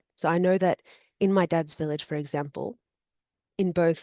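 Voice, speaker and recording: Fairly even intonation in an Australian accent. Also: woman. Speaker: student and embroidery artist. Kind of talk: interview.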